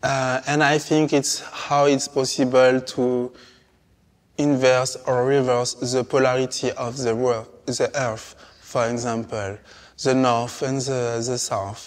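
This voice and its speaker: Speaking very slowly, a man uses a medium pitch. He has a French accent. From Martinique. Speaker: artist. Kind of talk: interview conversation. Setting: palace interior. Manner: halting, many hesitations.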